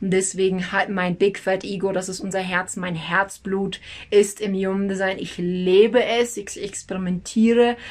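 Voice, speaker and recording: An energetic woman talks at a moderate pace in a medium-pitched voice. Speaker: human design analyst and teacher. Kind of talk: educational video talk. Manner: rambling, metaphor-rich explaining.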